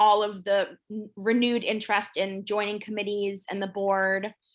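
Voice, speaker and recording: Over a quiet background, a woman speaks with monotone, flat intonation. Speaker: neighborhood association meeting chair. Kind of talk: community meeting over video call. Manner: fast.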